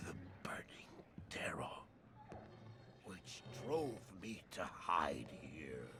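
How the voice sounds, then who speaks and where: A man whispering in a put-on character voice. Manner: stammering, nervous, repeating words.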